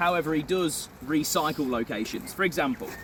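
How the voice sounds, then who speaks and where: Over noticeable background noise, a man speaks with lively intonation at a fairly high pitch. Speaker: tour guide. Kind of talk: guided tour talk. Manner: fast.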